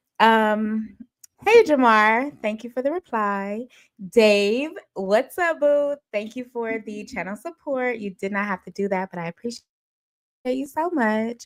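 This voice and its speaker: A woman with a fairly high pitch speaks at a fairly slow pace, her tone animated and her intonation lively. The recording is very clean, with a silent background and a dry, close sound with no echo. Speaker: livestream gossip host. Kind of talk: casual live stream chat. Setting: live stream at home.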